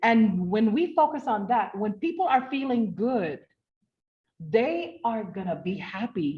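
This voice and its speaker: A somewhat breathy woman's voice, fairly high in pitch with very wide pitch swings, at a fairly slow pace. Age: 60s. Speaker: network marketing presenter. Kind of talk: online business presentation. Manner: animated.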